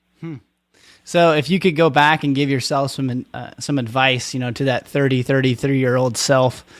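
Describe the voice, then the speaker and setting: With an American accent and an ordinary speaking voice, a man speaks at a moderate pace and medium pitch with fairly even intonation on a very clean recording with a silent background. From Oregon. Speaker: podcast host. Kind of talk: podcast interview.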